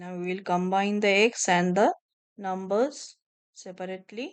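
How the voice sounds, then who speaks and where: A woman is speaking. Her pace is fairly slow. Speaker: math teacher. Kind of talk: tutorial.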